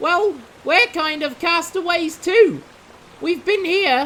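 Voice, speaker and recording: The voice is a put-on character voice at an extremely high pitch. It moves at a fairly slow pace. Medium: audio drama.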